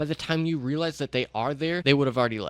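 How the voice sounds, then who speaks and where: Fairly high pitch from a man, with ordinary pitch variation. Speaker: streaming coach YouTuber. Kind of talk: tutorial. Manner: fast; blunt, direct.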